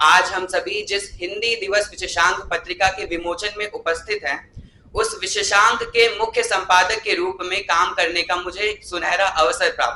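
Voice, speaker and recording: A man speaks in a raised, projected voice at a high pitch. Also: fairly even intonation. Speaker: student, chief magazine editor. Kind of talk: formal speech at event. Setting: stage with audience. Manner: formal.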